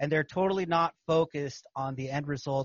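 At a fairly quick pace, a somewhat breathy man with fairly high pitch keeps his intonation fairly even. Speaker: podcast host and capital raiser. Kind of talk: casual interview chat.

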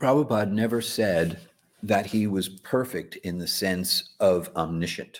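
A man with an American accent has an ordinary speaking voice. His pitch is fairly low, with ordinary pitch variation. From New York, Long Island. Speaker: spiritual teacher. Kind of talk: interview. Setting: livestream.

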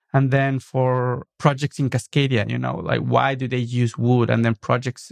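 A man of medium pitch talks with a Mexican accent. His intonation stays fairly even. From Mexico City, Mexico. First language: Spanish. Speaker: architect and designer. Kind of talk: interview. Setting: studio.

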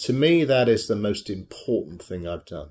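This very clean recording, with a silent background, captures a man with a British accent. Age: 60s. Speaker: charity treasurer and former theatrical agent. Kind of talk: interview.

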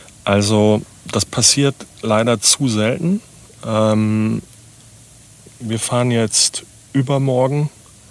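The delivery is very slow, with fairly even intonation. Noticeable background noise runs underneath. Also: man. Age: 50s. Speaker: startup founder. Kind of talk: interview conversation. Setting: on-site at guest's place, recorded in a vehicle.

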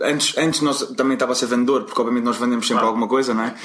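A man speaks with a European Portuguese accent. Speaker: storytelling expert and former salesman. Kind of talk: interview.

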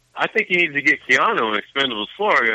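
A man talks at a very fast pace. His pitch swings very widely over noticeable background noise. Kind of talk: casual banter.

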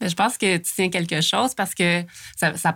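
Here a woman does the talking. She moves along at a fairly quick pace. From Quebec, Montérégie. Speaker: library volunteer. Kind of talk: casual interview chat.

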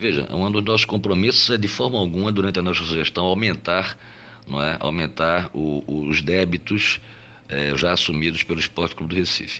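A man talks at a fairly quick pace in a very deep, low voice with ordinary pitch variation. Noticeable background noise runs underneath. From Olinda, Pernambuco, Brazil. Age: 50s. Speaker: lawyer and club presidential candidate. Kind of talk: interview answers. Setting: recorded voice message.

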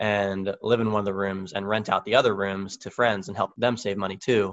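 A man with a normal speaking voice, fairly low pitch, fairly even intonation and a fairly quick pace. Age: 20s. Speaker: podcast guest, author. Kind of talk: casual chat. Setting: phone call.

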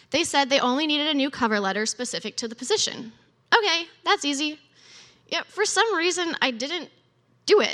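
The voice is raised and projected, with a bright, sharp tone and very wide pitch swings. Long pauses come frequently. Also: woman, high pitch for a woman, fairly quick pace. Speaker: storyteller; teacher. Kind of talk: testimony. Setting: church.

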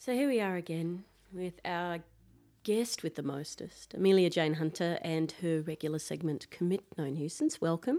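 With an Australian accent, a woman speaks in a dark, mellow tone at fairly low pitch with ordinary variation. Her pace is moderate, and the recording is very clean with a silent background. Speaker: podcast host. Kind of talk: casual chat. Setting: studio.

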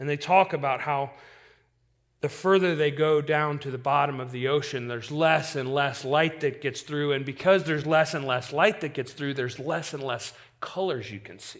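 With a normal speaking voice, a man talks at a moderate pace in a fairly high pitch with ordinary pitch variation and big swings in loudness, in a very clean recording with a silent background. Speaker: preacher. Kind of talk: sermon. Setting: church.

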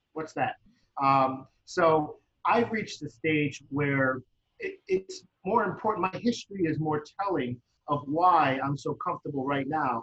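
A man with an American accent speaks at a fairly slow pace in an ordinary speaking voice, his pitch fairly high with ordinary variation. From United States. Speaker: parent coach and social worker. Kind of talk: interview.

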